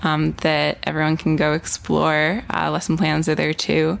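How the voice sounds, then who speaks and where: A woman speaks at a fairly slow pace. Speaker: ed-tech co-founder. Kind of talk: casual chat. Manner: frequent fillers like 'like' and 'um'.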